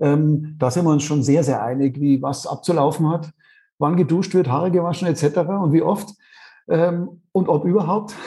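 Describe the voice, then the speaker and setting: An unremarkable speaking voice talks at a moderate pace with ordinary pitch variation. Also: man, fairly high pitch for a man. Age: 50s. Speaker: author and parent. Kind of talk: interview. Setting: remote call.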